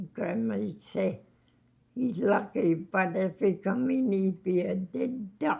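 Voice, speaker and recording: A woman's medium-pitched voice with vocal fry, lively intonation and a very slow pace. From Labrador, Canada. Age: 80s+. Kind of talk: interview answer. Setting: long-term care home.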